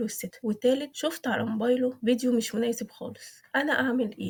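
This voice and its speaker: A woman with an Egyptian accent speaks at a fairly quick pace in a high pitch, with a calm tone, fairly even intonation and noticeable background noise. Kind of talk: parenting advice talk summarizing a book. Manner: calm, clear.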